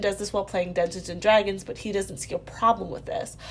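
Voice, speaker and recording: Somewhat breathy and very fast, a woman speaks with an American accent. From Virginia, US. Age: 20s. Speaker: caller. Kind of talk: recorded voicemail question.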